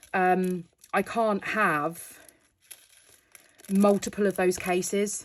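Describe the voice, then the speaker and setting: Speaking in a British accent, a woman's voice sits at a medium pitch. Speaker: crafting youtuber. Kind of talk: casual tutorial. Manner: casual, hesitant with fillers.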